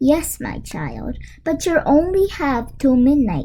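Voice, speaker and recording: A woman puts on a character voice with a high pitch, speaking at a fairly slow pace. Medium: read story. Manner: warm, motherly.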